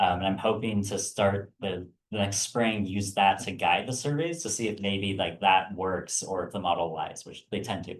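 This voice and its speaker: At a moderate pace with hardly any pauses, a man speaks at a fairly low pitch with ordinary pitch variation. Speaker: biology graduate student. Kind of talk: Q&A after research talk. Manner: loud.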